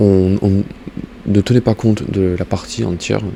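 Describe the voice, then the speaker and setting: Noticeable background noise around a very deep, low-voiced man speaking fairly slowly with fairly even intonation. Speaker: gaming YouTuber. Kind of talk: game tutorial. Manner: soft-spoken; halting, many fillers.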